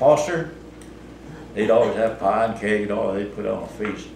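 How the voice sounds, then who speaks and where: Noticeable background noise sits behind a man speaking with an American accent at a moderate pace. His pitch is medium, with ordinary variation. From Southeast Missouri. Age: 80s+. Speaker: farmer. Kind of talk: interview answer. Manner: casual, hesitant.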